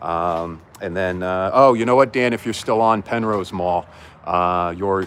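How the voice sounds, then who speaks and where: The voice has a New Jersey accent. It moves at a moderate pace. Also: man. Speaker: livestreamer exploring abandoned malls. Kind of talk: live-stream walkthrough. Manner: casual, filler-heavy.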